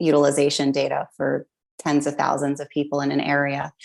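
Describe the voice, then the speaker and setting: A woman with an American accent speaks at a moderate pace in a very deep, low pitch. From United States. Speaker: health policy researcher. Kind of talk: podcast interview.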